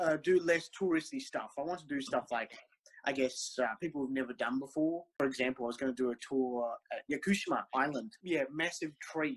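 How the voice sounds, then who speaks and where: Recorded dry and close with no echo, a man speaks at a fairly quick pace and fairly high pitch, with ordinary pitch variation. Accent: Australian. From Australia, Melbourne. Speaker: interviewee, Japanese culture fan. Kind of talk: casual interview. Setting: video call. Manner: hesitant, many fillers.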